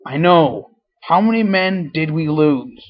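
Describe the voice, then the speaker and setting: Soft-spoken and put-on, this character voice moves at a fairly slow pace with a middle pitch. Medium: read story. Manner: soft-spoken, measured.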